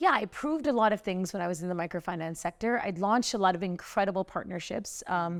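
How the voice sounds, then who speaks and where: Very fast and with hardly any pauses, a woman with an American accent talks in an animated tone at a medium pitch with ordinary pitch variation. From US, New York. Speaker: social entrepreneur, company founder. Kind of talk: interview conversation.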